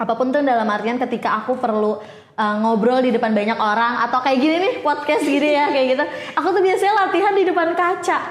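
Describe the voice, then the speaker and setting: A shrill, very fast voice with very wide pitch swings and very even loudness, amid noticeable background noise and audible room echo. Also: woman, high pitch for a woman. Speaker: podcast host. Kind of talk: casual chat.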